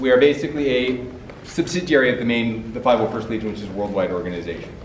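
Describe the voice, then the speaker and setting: With music in the background and audible room echo, a man with a Canadian accent speaks at a very fast pace and medium pitch. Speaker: convention panel moderator. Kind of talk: convention panel presentation. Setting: stage with audience, no mic. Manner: loud.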